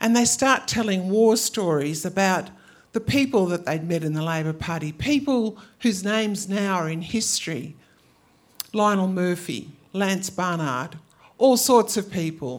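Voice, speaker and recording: A woman with an Australian accent speaks fairly slowly at a medium pitch, her intonation lively. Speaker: storyteller. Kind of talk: live storytelling. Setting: stage with audience.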